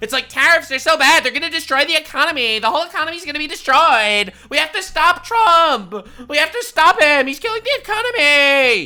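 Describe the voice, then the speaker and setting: A shrill, put-on character voice moves at a fairly quick pace with hardly any pauses. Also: woman, high pitch for a woman. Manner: freaking out, shrill.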